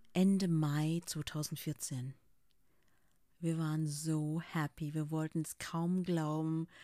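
In a very clean recording with a silent background, a woman talks very slowly with a very deep, low pitch, a dark, mellow tone, monotone, flat intonation, and long, frequent pauses. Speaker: podcaster sharing personal story. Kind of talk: personal testimony monologue.

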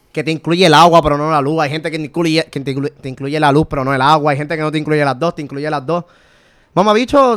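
A man with a Puerto Rican accent, fairly high in pitch, at a very fast pace. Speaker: podcast co-host. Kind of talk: casual chat. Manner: animated.

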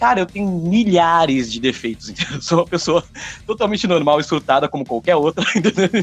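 A man speaks at a high pitch and a fairly quick pace. The sound is dry and close, with no echo. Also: lively intonation. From interior of São Paulo state, Brazil. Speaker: rock singer and songwriter. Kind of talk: casual interview chat.

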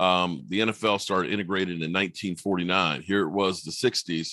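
A man with an American accent, very deep and low in pitch, bright and sharp in tone, over a quiet background. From Virginia, US. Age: 50s. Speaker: sports YouTuber. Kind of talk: casual chat.

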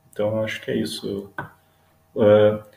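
A man talks at a fairly slow pace. His pitch is fairly low. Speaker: Guarani-descended visual artist. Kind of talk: casual chat.

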